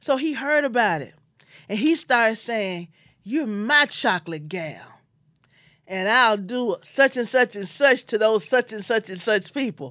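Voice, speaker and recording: A woman with a Memphis accent speaks at a moderate pace and medium pitch, her pitch swinging very widely, on a very clean recording with a silent background. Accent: Southern US (Memphis). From US South, Memphis, Tennessee. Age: 50s. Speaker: podcast host and life insurance agent. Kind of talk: personal storytelling monologue.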